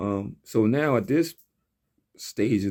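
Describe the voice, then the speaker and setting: In a very clean recording with a silent background, a man speaks at a medium pitch with a dark, mellow tone. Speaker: rapper and studio owner. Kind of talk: casual monologue.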